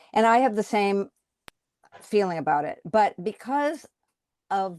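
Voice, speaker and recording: Woman with an American accent, medium pitch and a fairly slow pace. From United States. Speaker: author. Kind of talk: casual chat. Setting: video call. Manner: halting.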